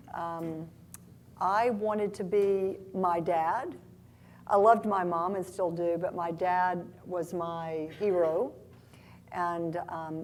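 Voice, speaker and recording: Here a woman speaks in a fairly low pitch. Her intonation stays fairly even. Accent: Southern US. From US South, Oxford, Mississippi. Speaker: tech company CEO. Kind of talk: live interview on stage. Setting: stage with audience.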